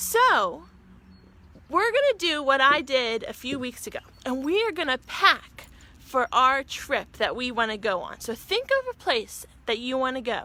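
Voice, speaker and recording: A woman with an American accent uses a raised, projected voice at a high pitch. Her delivery is animated, with lively intonation at a fairly slow pace. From western Pennsylvania, Pittsburgh. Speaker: teacher. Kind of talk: virtual class for young children. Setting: outdoors on back porch.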